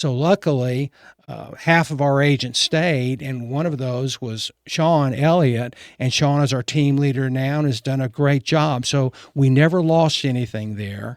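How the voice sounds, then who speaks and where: A man speaks at a medium pitch and a fairly slow pace, with ordinary pitch variation. The recording is very clean and dry, with a silent background and no echo. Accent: Texan. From Texas (Fort Worth, Richardson). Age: 70s. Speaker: real estate broker. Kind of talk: casual interview.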